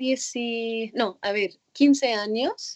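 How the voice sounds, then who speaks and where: Speaking very slowly in an Arabic accent, a woman keeps her intonation fairly even. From Egypt, Cairo. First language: Arabic (speaking Spanish). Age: 20s. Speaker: former synchronized swimmer. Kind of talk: interview. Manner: halting.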